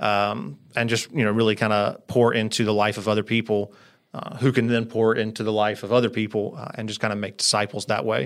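Using an unremarkable speaking voice, a man with an American accent talks at a fairly quick pace and medium pitch with fairly even intonation. The recording is very clean, with a silent background. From US South, Greensboro, North Carolina. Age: 30s. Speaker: church small group leader. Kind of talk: casual chat.

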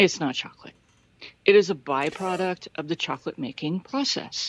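In a dry, close sound with no echo, a woman with an ordinary speaking voice talks at a moderate pace and a fairly low pitch with ordinary pitch variation. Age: 40s. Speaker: listener leaving a voice message. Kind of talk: recorded voice message. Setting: recorded voice message played on the show.

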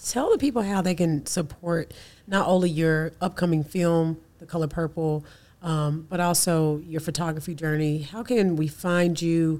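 A woman's unremarkable speaking voice, fairly low in pitch, with fairly even intonation and a moderate pace. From US South (Birmingham, Alabama). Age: 30s. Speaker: podcast host. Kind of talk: casual interview.

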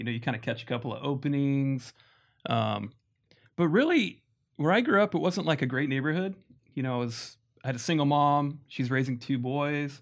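The speaker talks at a fairly quick pace with an American accent and ordinary pitch variation. Long, frequent pauses break up the speech. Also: man, fairly high pitch for a man. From Las Vegas, US. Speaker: guest, husband. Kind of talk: casual interview chat.

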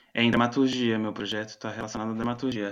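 Over a quiet background, a man talks in a flat monotone at a medium pitch. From Brazil, Florianópolis. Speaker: playwright and researcher. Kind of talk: interview conversation. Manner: halting, many fillers.

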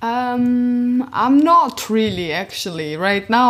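Lively intonation marks a woman's very slow speech. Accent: Georgian. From Georgia. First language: Georgian. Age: 20s. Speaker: podcast guest. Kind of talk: casual interview conversation.

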